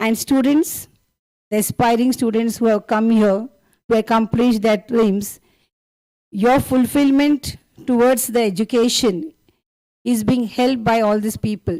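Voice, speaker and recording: A woman with an Indian accent speaks fairly slowly at a fairly high pitch, with ordinary pitch variation and long, frequent pauses. Her loudness stays very even, and the sound is dry and close with no echo. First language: Tulu. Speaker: school principal, guest speaker. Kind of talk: formal speech. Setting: stage with audience. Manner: formal.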